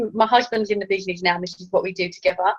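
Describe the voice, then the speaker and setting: A woman speaks in an English accent. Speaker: network marketing team leader. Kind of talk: training talk. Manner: fast.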